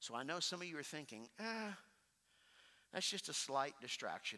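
A man speaks with vocal fry and a bright, sharp tone. His pitch swings very widely, and he takes long, frequent pauses. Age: 40s. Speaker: pastor. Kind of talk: sermon. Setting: church. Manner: slow, soft, reflective pastoral pacing with pauses; earnest, intimate direct address to the congregation.

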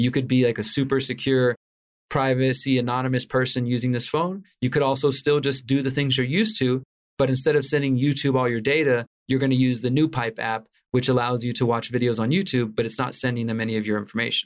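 A man at medium pitch with an American accent, very fast pace, and fairly even intonation. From Houston, Texas. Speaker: investigative journalist and author. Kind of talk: interview conversation.

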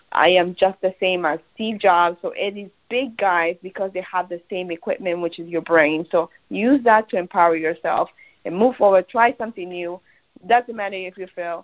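A woman with a Spanish accent talks at a medium pitch, her loudness swinging widely while her pitch varies in an ordinary way. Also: moderate pace. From Peru. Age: 30s. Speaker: radiologic technology supervisor and online marketer. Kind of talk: casual interview. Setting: phone call.

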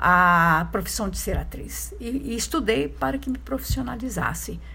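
Speaking at a fairly slow pace, a woman is heard with audible room echo. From rural Minas Gerais, Brazil. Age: 70s. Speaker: actress and playwright. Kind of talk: interview.

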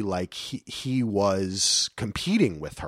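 A man speaks very slowly with ordinary pitch variation, his voice dry and close with no echo, on a very clean recording over a silent background. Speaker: podcast host. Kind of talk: casual chat. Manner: expressive, animated delivery.

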